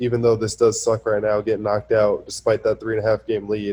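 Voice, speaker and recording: A man's somewhat breathy, medium-pitched voice with a dark, mellow tone. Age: 20s. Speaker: professional basketball player. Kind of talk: casual interview.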